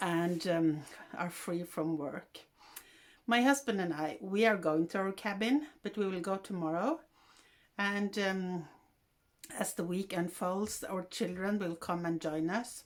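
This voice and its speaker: Using a Norwegian accent, a woman speaks at a fairly slow pace with ordinary pitch variation and long, frequent pauses. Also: medium pitch for a woman. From Norway. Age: 60s. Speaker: podcaster. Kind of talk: casual monologue. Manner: halting.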